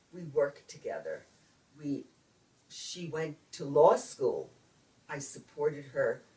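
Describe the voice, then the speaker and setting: Speaking at a fairly slow pace, a woman talks with a New York accent. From Brooklyn, New York. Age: 70s. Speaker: retired speech pathologist. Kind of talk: interview answer.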